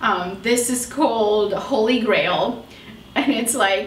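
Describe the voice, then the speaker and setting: With noticeable background noise and audible room echo, a woman speaks at a very slow pace in a fairly high pitch with ordinary pitch variation. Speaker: beauty vlogger, makeup artist. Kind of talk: casual product review chat.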